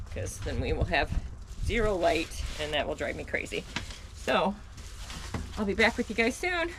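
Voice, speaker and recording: With noticeable background noise behind her, a woman speaks at a moderate pace, leaving long, frequent pauses. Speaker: vlogger living off-grid in a camper. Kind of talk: casual vlog talk to camera. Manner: soft-spoken.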